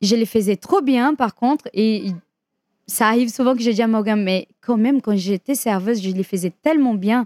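With a Brazilian accent, a woman speaks at a moderate pace in a fairly high pitch with ordinary pitch variation and very even loudness, recorded very cleanly against a silent background with a dry, close sound and no echo. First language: Portuguese (speaking French). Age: 30s. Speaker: dancer and dance teacher. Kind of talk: interview.

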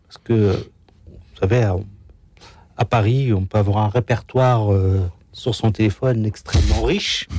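A somewhat breathy voice at a fairly slow pace, with long, frequent pauses and fairly even intonation. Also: man, fairly low pitch for a man. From Algeria, Kabylie. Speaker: association ambassador, former youth in distress. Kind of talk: testimony. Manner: halting.

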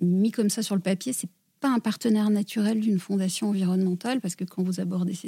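In a very clean recording with a silent background and a dry, close sound with no echo, a woman speaks at a fairly quick pace and medium pitch, with ordinary pitch variation and a dark, mellow, somewhat breathy tone. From southwest France (Gers). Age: 40s. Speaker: environmental foundation director. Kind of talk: interview. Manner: hesitant, frequent repetitions.

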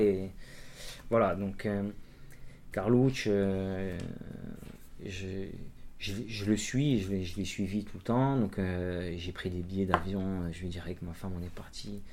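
A man's dark, mellow tone with ordinary pitch variation and audible room echo. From Corsica. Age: 30s. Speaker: amateur trail runner and cyclist, electrician. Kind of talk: interview, casual chat. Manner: hesitant, many fillers.

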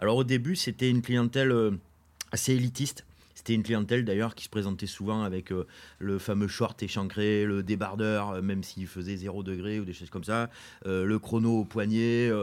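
A man speaks at a moderate pace with a fairly low pitch and fairly even intonation. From Corrèze, France. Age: 50s. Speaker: sports retailer and race organizer. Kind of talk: casual interview. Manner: hesitant, many fillers.

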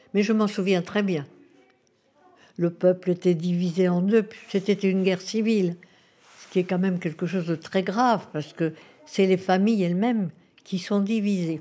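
At a moderate pace, a woman with a dark, mellow, medium-pitched voice speaks with fairly even intonation. Her loudness swings a lot, and she takes long, frequent pauses. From Spain (Madrid), moved to France at 9. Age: 90s. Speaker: retirement home resident sharing memories. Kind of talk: interview testimony.

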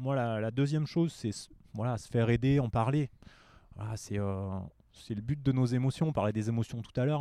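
Over a silent background on a very clean recording, a man talks at a moderate pace. His medium-pitched voice has a dark, mellow tone and ordinary pitch variation. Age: 40s. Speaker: yoga teacher and career coach. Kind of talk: casual interview. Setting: outdoors in a bar garden.

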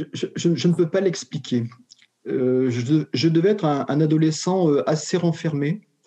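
This man's voice sits fairly high. Its pitch varies in an ordinary way. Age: 60s. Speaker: retired educator turned short story author. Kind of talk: interview. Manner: halting, many repetitions and hesitations.

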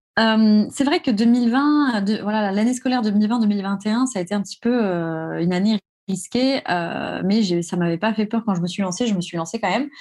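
Fairly high-pitched, somewhat breathy woman's voice with ordinary pitch variation at a moderate pace. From France, Alsace. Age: 30s. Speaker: real estate investor. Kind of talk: interview.

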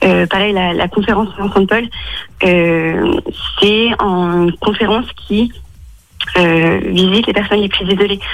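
A woman speaks at medium pitch and a very slow pace, with fairly even intonation and long, frequent pauses. Noticeable background noise is present. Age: 20s. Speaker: mathematics teacher and charity volunteer. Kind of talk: radio interview. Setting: phone call from home. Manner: hesitant, many fillers.

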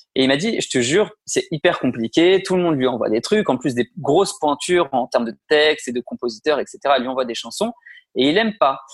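A man at a fairly high pitch with lively intonation, in a dry, close sound with no echo. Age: 30s. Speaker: music manager and producer. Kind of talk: interview. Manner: hesitant, many fillers.

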